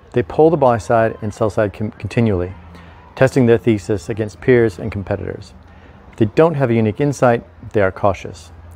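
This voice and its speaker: Music plays behind a man speaking at a fairly quick pace. His pitch variation is ordinary. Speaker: investment commentator. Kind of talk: commentary. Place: garden. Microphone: lapel.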